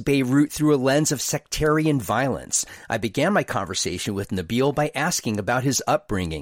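A man speaks in a plain, everyday voice at a moderate pace, his pitch fairly high. The sound is dry and close with no echo, in a very clean recording with a silent background. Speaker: podcast host. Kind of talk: interview.

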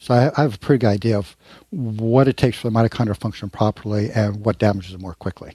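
Over a quiet background, a man with a fairly low, somewhat breathy voice and a dark, mellow tone talks at a very fast pace with ordinary pitch variation, the sound dry and close with no echo. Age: 70s. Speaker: naturopathic physician and author. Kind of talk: interview.

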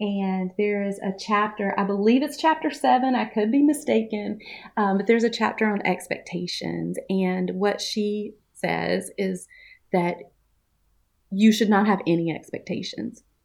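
Against a quiet background, a woman with a Southern US accent speaks at a moderate pace, her medium pitch moving with ordinary variation. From US South, Mississippi. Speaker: coach and course designer. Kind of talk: casual interview.

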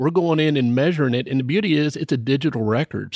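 A man with an unremarkable speaking voice and lively intonation is heard in a very clean recording with a silent background and a dry, close sound with no echo. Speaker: drilling engineer and startup co-founder. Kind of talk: podcast interview.

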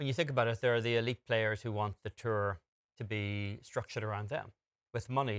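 A man with an ordinary speaking voice talks at a fairly quick pace in a fairly low pitch with fairly even intonation. The sound is dry and close with no echo, in a very clean recording with a silent background. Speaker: golf show co-host. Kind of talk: studio sports talk and interviews.

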